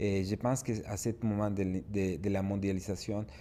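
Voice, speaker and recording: A man's fairly low voice, dark and mellow in tone, at a moderate pace. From Mexico. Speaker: business expert speaker. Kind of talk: webinar presentation.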